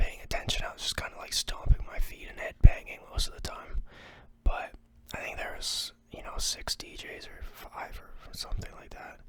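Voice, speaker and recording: Noticeable noise sits behind someone whispering at a middling speed. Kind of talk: casual ASMR ramble to camera. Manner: whispered.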